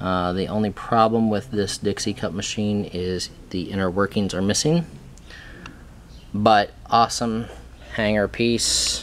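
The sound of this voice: At a fairly slow pace, a man talks with fairly even intonation and a fairly low pitch.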